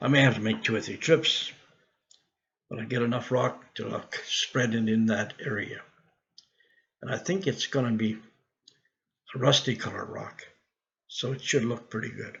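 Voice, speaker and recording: With long, frequent pauses, a man speaks in vocal fry. His pitch variation is ordinary. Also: medium pitch for a man, moderate pace. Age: 70s. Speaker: video blogger tracking weight loss. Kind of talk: casual vlog monologue. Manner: halting, with fillers and restarts.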